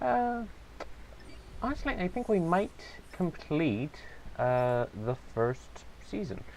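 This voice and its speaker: Someone mumbles at a very slow pace, leaving long, frequent pauses. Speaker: let's play gamer. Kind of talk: casual gameplay commentary. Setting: low-quality home mic. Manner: mumbling.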